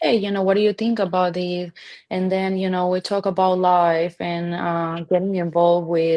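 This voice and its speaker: In a Colombian accent, a woman with a medium pitch speaks at a moderate pace in a monotone, flat intonation. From Colombia, Barranquilla. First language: Spanish. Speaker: restaurant owner. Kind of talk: interview. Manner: halting.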